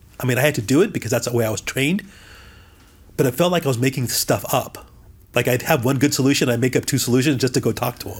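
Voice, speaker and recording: A man talks very fast in a somewhat breathy voice, with ordinary pitch variation. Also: medium pitch for a man. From Southern California. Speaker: CEO and business leader. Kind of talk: interview.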